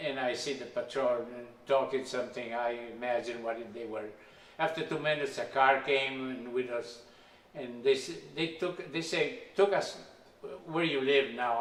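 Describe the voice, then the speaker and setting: Over noticeable background noise and audible room echo, a man with a non-native accent talks at medium pitch and a moderate pace, his intonation fairly even. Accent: foreign. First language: not English. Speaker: immigrant telling his life story. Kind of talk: life story interview. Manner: halting.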